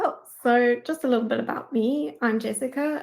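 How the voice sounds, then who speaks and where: The speaker has a South African accent and ordinary pitch variation. The recording is very clean, with a silent background. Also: woman. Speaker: data engineering manager. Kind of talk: conference talk.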